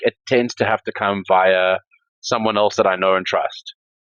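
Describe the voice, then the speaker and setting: A man with a South African accent speaks at a moderate pace. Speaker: crypto entrepreneur and startup investor. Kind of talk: podcast interview. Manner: hesitant, many fillers.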